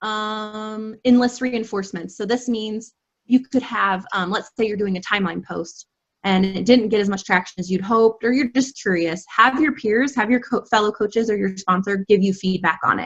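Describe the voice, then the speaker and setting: Somewhat breathy and fairly high-pitched, a woman talks at a moderate pace with ordinary pitch variation. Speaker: health and fitness coach. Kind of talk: online training presentation.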